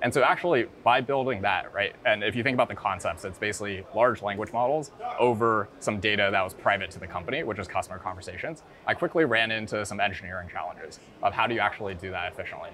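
A man's fairly low voice at a very fast pace, with ordinary pitch variation and music in the background. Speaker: guest. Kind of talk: interview answer. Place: hall. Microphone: lapel.

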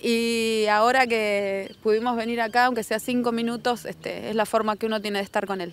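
With hardly any pauses, a woman speaks at a moderate pace in a fairly high pitch and a monotone, flat delivery, and the sound is dry with no echo. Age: 40s. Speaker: fan at a tribute. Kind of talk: street interview. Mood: emotional, tender tribute. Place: street. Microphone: handheld.

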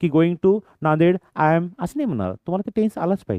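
A high-pitched male voice with lively intonation. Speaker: English teacher, channel host. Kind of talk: tutorial.

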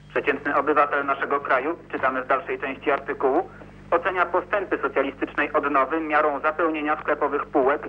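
Hardly any pauses break a man's very fast speech. The intonation stays fairly even. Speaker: TV news correspondent. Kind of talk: news reading of a press article. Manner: formal, even, official-sounding. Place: office.

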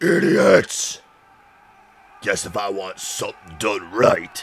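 Put-on character voice from a man, medium in pitch. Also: fairly slow pace. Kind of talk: tough-guy gangster talk. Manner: snarling, menacing, contemptuous.

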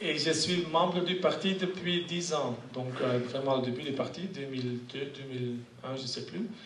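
Very slowly, a man with a Dutch accent speaks in a fairly high pitch, with audible room echo and light background noise. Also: ordinary pitch variation. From Flanders. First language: Dutch (speaking French). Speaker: politician. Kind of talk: panel debate. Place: classroom. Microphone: podium.

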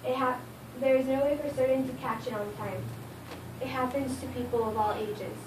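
Amid noticeable background noise, a woman speaks at a high pitch and a moderate pace with fairly even intonation. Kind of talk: informative speech. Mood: earnest, somewhat nervous. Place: classroom. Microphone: camera far.

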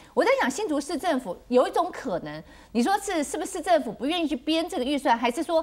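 A woman talks at a fairly quick pace. Her voice is high in pitch. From Taiwan. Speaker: city councillor. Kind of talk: TV panel discussion. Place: studio. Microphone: lapel.

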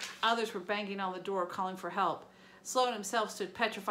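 A natural reading voice holds fairly even intonation.

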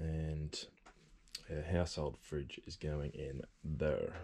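A man speaks with a very deep, low pitch and a dark, mellow tone. His intonation is monotone and flat. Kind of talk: casual vlog chat. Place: bus. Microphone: phone near.

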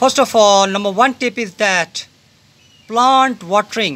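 A raised, projected voice at a moderate pace. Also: man. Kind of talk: gardening tutorial vlog. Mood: festive, patriotic. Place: garden. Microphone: phone near.

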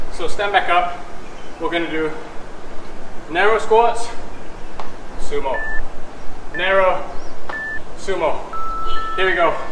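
Noticeable background noise sits behind a man with a high voice. He speaks at a fairly slow pace with ordinary pitch variation and long, frequent pauses. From Malaysia. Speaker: fitness instructor. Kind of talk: guided high-intensity workout class, barking cues and rep counts. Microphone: camera far.

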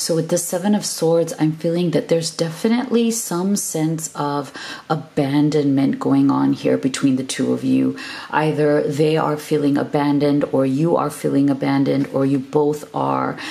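Delivered at a moderate pace with ordinary pitch variation and very even loudness, the speech has noticeable background noise behind it. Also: woman, very deep, low pitch for a woman. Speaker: tarot reader. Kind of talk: tarot reading to camera. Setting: video channel, recorded alone. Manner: warm, affectionate.

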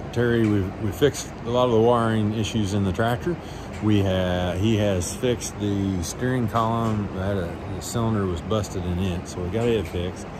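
Noticeable background noise runs under the voice. The speech moves at a moderate pace. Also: man. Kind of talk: casual vlog chat. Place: garage. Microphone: phone near.

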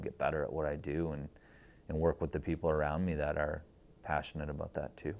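A man's very deep, low voice, very fast and monotone with flat intonation. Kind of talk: interview answer. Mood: warm, grateful, reflective. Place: studio. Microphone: lapel.

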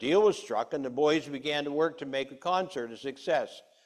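A man is speaking at a moderate pace. The background is quiet. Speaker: preacher. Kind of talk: sermon. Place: church.

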